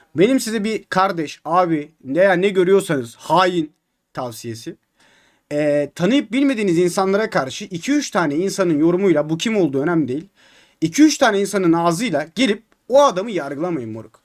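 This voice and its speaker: A man talks at a moderate pace with a high pitch and very wide pitch swings. The recording is very clean, with a silent background. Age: 20s. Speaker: gaming streamer. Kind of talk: live stream chat. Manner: animated.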